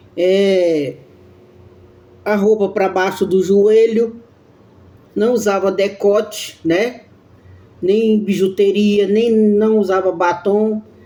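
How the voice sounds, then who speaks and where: A woman speaks very slowly in a flat monotone with a dark, mellow tone and very even loudness, leaving long, frequent pauses, with audible room echo. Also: medium pitch for a woman. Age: 60s. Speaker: evangelical preacher. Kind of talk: devotional sermon. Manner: halting.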